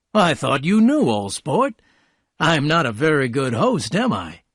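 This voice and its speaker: The speaker puts on a character voice, keeping a moderate pace while the pitch swings very widely. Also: man, fairly high pitch for a man, very clean recording, silent background. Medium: read story. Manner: polite, warm, easy.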